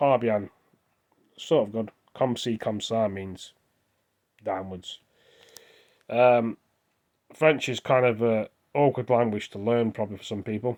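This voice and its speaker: In an English accent, a man speaks at a fairly slow pace and medium pitch, with fairly even intonation. Long, frequent pauses break his speech, and the sound is dry and close with no echo. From England. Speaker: vlogger. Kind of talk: casual monologue. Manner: rambling, hesitant.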